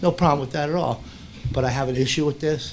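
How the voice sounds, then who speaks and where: A man speaks at a very fast pace, his pitch fairly high. His intonation stays fairly even. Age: 60s. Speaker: parent speaking in public comment. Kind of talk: public comment at school board meeting. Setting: school board meeting room.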